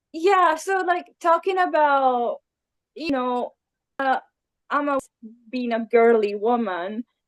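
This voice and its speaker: A woman speaks at a very slow pace in a high pitch with an Italian accent, her pitch swinging very widely between long, frequent pauses, in a dry, close recording with no echo. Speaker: illustrator. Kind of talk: interview.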